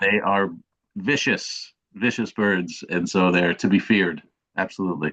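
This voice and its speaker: A man with an ordinary speaking voice and an American accent, fairly low-pitched, fairly even in intonation, at a moderate pace. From United States. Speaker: fantasy football content creator. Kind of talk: casual interview chat.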